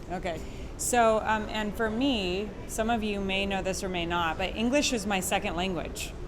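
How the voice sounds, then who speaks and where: In a room with audible echo, a woman talks at a moderate pace with medium pitch and ordinary pitch variation. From Quebec. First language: French. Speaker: course instructor. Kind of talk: instructional conversation.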